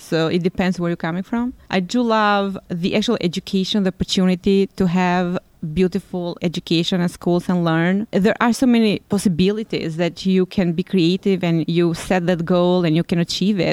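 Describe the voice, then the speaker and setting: A woman with an Albanian accent speaks at a fairly low pitch and a moderate pace, with fairly even intonation. The recording is very clean with a silent background and a dry, close sound with no echo. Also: hardly any pauses, very even loudness. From Albania, Tirana. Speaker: immigrant interviewee working in law. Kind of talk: personal storytelling interview.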